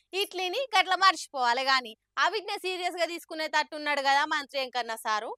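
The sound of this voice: A woman with a high pitch and a bright, sharp tone speaks at a fast pace with ordinary pitch variation, the sound dry and close with no echo.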